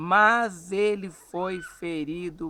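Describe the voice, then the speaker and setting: The man's voice sits high in pitch and varies in an ordinary way. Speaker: evangelist and Bible school teacher. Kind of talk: Bible lesson; casual chat. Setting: outdoors at a country farm.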